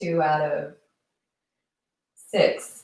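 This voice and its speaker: A soft-spoken woman. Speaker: livestream commentator. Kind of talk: casual livestream monologue. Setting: live stream. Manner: soft-spoken, very quiet. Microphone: built-in mic, low level instead of usual external mic.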